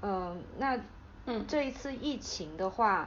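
Speaking with a Taiwanese accent, a woman moves at a moderate pace with very wide pitch swings and vocal fry. Audible room echo surrounds her voice. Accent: Taiwanese-sounding Mandarin. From Hainan, China. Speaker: podcast host. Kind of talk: casual interview chat.

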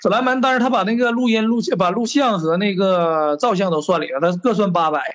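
A man with a high voice talks at a fairly quick pace with lively intonation and hardly any pauses. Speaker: class reunion organizer. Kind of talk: casual chat.

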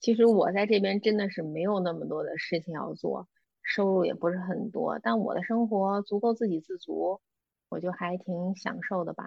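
A woman's normal speaking voice at a medium pitch and moderate pace, with ordinary pitch variation. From China, Beijing. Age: 30s. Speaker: former office worker living abroad. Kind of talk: casual interview.

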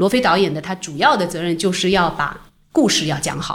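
A woman talks at a medium pitch and a fairly quick pace. She has an ordinary speaking voice. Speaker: film producer. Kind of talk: casual interview. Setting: office.

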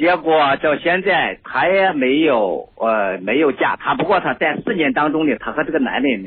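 A man talks with a fairly high pitch at a moderate pace. His voice swings very widely up and down. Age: 40s. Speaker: caller. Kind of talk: call-in discussion of marriage problems. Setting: phone call.

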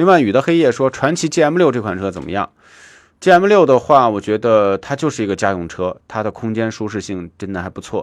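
This man talks at a moderate pace with a medium pitch and very wide pitch swings. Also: quiet background. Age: 40s. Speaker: car talk radio host. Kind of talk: live call-in radio show.

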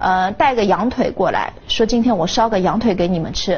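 The speaker talks at a moderate pace in a Shanghainese accent. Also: woman. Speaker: victim's family member. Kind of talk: interview.

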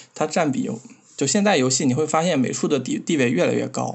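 Vocal fry runs through a man's lively intonation as he talks at a moderate pace. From Xinjiang, China. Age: 20s. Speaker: game developer. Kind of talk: casual chat.

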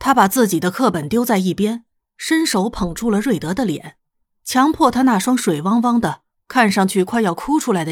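Lively intonation marks an unforced reading voice against a quiet background.

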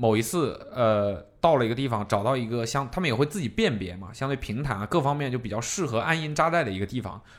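He has a plain, everyday voice at medium pitch. The man talks at a fairly quick pace with hardly any pauses. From southern China. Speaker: podcast host. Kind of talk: casual chat.

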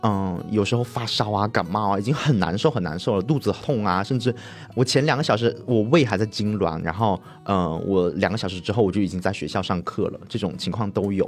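At a fairly quick pace, a man talks in a plain, everyday voice, fairly low in pitch with ordinary pitch variation. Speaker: podcast co-host. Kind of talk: casual chat.

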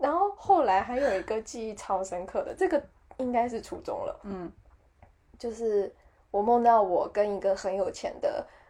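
A woman speaks at a moderate pace in a fairly high pitch with a dark, mellow tone. Her pitch swings very widely and her loudness shifts a lot. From Taiwan. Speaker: podcast co-host. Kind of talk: casual chat.

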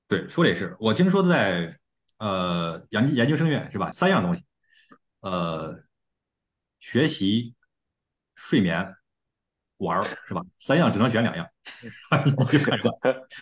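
Speaking very slowly with long, frequent pauses, a man at a medium pitch makes very wide pitch swings. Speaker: podcast host. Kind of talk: casual chat.

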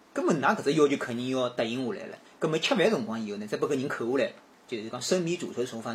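With noticeable background noise behind him, a man talks at a very fast pace, his fairly high voice full of lively intonation. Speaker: podcast guest. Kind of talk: casual chat.

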